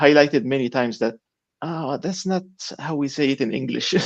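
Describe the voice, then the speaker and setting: A man speaks with an Arabic accent at a fairly high pitch. His pitch varies in an ordinary way. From Egypt. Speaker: novelist and aid worker. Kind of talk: conversational author interview. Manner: hesitant, with fillers.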